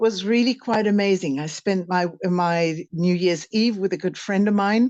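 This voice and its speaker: Against a quiet background, a woman with a plain, everyday voice speaks at a fairly slow pace and a medium pitch, with ordinary pitch variation and a dry, close sound with no echo. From Canada. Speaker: spiritual teacher. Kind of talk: casual interview conversation. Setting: in France, conversation with interviewer.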